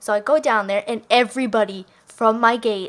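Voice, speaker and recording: A woman talks in a plain, everyday voice at a fairly high pitch and moderate pace. Her pitch varies in an ordinary way. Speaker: gaming YouTuber. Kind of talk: casual storytelling over gameplay.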